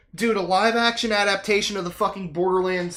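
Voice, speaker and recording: With music in the background, a woman speaks at a moderate pace using ordinary pitch variation. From Britain. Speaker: gaming streamer. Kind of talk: casual chat. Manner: animated.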